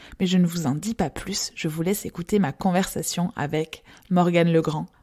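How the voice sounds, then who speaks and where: Recorded very clean with a silent background and a dry, close sound with no echo, a woman speaks at a moderate pace. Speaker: podcast host. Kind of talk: scripted intro then interview.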